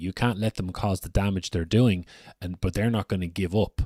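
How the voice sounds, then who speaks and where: Dry and close with no echo, a man's very deep, low voice carries ordinary pitch variation. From Ireland, Dublin. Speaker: podcast host. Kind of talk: live online discussion. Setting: live audio space / stream.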